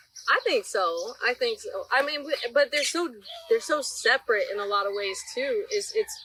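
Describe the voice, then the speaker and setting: Raised and projected, a woman's high-pitched voice with an American accent moves at a moderate pace through very wide pitch swings. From South Florida. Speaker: writer and folk historian. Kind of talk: casual chat. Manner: animated.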